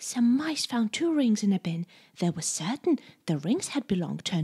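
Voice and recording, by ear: The passage is read aloud in a natural voice.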